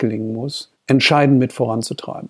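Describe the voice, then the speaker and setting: A man's fairly high-pitched, normal speaking voice at a moderate pace. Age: 50s. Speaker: corporate spokesperson. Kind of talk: interview.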